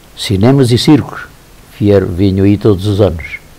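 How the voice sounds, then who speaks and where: Over noticeable background noise, a man with a fairly low pitch talks at a fairly slow pace with ordinary pitch variation. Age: 80s+. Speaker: elderly local resident recounting memories. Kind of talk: interview, personal reminiscence. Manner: halting, with repetitions.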